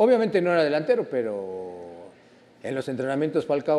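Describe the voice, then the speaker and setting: At a fairly quick pace, a man speaks in a fairly high pitch. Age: 50s. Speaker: former footballer; guest. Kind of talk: casual chat. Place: studio. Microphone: lapel.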